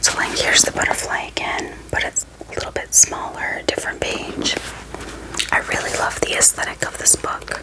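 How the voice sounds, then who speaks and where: Against noticeable background noise, a woman is whispering in a relaxed tone. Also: moderate pace. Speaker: ASMR creator and book reviewer. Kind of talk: bookish ASMR, casual talk to camera. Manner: soft, whispery, relaxed.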